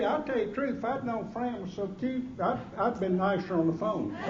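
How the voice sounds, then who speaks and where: Amid noticeable background noise and audible room echo, a man speaks at a high pitch and a moderate pace with ordinary pitch variation. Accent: Southern US. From Georgia, US South. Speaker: after-dinner keynote speaker. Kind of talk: humorous after-dinner speech. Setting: stage with audience at a gala dinner. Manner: animated.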